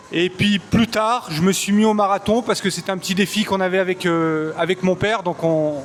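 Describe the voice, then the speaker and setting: A man talks at a fairly quick pace in a high pitch with hardly any pauses. His intonation is fairly even, and background noise is noticeable. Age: 40s. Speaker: performance coach. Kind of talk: interview answers. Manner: hesitant, many fillers.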